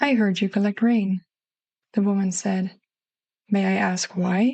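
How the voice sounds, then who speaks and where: A woman speaks in a dark, mellow tone at a medium pitch, calm and somewhat breathy. Her intonation is flat and monotone, and the sound is dry and close with no echo. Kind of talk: bedtime story narration. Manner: calm, slow.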